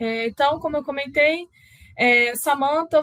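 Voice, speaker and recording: With ordinary pitch variation, a woman is heard in a dry, close sound with no echo. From Rio de Janeiro, Brazil. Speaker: process automation specialist, speaker. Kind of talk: conference talk.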